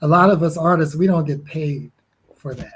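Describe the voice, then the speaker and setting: A man with an American accent speaks at a fairly high pitch, his voice somewhat breathy and his intonation fairly even. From Connecticut, US. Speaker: musician. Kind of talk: interview. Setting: livestreamed podcast.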